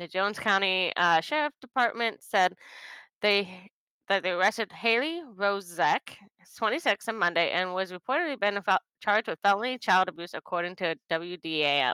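Woman's bright, sharp tone at a moderate pace, lively intonation, very clean recording, silent background. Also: medium pitch for a woman, dry, close sound with no echo. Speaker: co-host. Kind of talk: casual chat.

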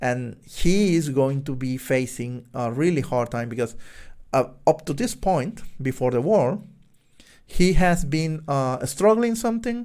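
A man with a Spanish accent speaks at a fairly slow pace, his fairly high pitch swinging very widely. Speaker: podcast host, software developer. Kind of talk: solo book review monologue. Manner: halting, many fillers.

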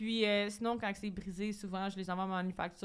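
Speaking very fast, a woman has a medium pitch and a monotone, flat delivery. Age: 20s. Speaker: entrepreneur. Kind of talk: casual chat.

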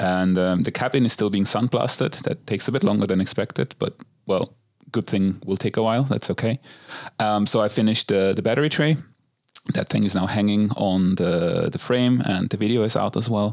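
A man with a normal speaking voice talks at a fairly quick pace and fairly low pitch, with ordinary pitch variation, very even loudness, and a dry, close sound with no echo. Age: 30s. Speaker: car enthusiast podcast co-host. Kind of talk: casual chat.

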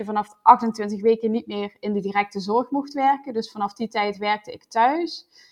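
Against a quiet background, a woman with a fairly high pitch talks at a fairly slow pace in fairly even intonation. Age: 20s. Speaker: new mother sharing birth story. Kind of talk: personal testimony. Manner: hesitant, many fillers.

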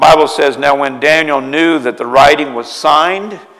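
In a room with audible echo, a man talks at a moderate pace and fairly high pitch, with ordinary pitch variation. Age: 50s. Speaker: pastor. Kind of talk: sermon.

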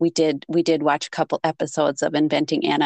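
With a strong Minnesotan accent, a woman speaks at a fairly quick pace in a low pitch, with vocal fry, a slightly mellow tone and a dry, close sound with no echo. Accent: thick Minnesotan.

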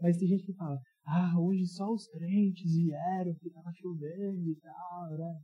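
This man has a dark, mellow tone. His pitch sits high. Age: 20s. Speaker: youth pastor. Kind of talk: sermon. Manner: casual, interactive.

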